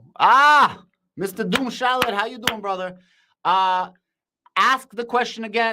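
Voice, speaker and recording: Shouting in a raised, projected voice, a man with an American accent speaks at a fairly quick pace in a bright, sharp tone with ordinary pitch variation, on a very clean recording with a silent background. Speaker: crypto and stock market streamer. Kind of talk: live stream commentary and chat reading. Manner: loud, shouting; animated.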